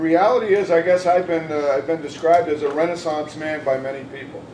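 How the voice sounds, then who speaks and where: A man's fairly high voice at a very fast pace, with fairly even intonation over noticeable background noise. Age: 60s. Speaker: judicial candidate. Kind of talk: candidate forum statement. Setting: panel event with audience.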